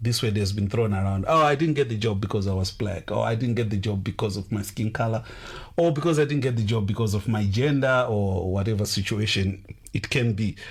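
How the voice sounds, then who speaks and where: A man's fairly low voice in an African accent, fairly quick in pace, with ordinary pitch variation. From Zimbabwe. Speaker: radio host. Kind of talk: radio interview.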